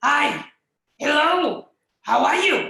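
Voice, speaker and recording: A put-on character voice, high in pitch, with slight echo. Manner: growly, guttural.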